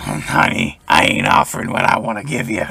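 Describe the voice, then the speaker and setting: Using a put-on character voice, a man talks at a moderate pace with a raspy sound and medium pitch. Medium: actual play. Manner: warm, calls everyone honey or sweetie.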